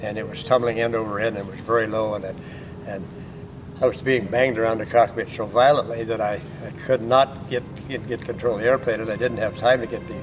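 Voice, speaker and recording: Over noticeable background noise, a man with an American accent speaks very fast at a medium pitch in a monotone, flat intonation. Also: big swings in loudness. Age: 80s+. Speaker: retired air force fighter pilot. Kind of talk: interview answer.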